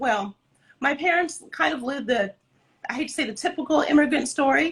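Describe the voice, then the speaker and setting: With a Californian accent, a woman speaks in a high pitch. Her pitch varies in an ordinary way. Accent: Californian American English. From Southern California, Santa Ana. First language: Spanish. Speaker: dance company director. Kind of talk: interview.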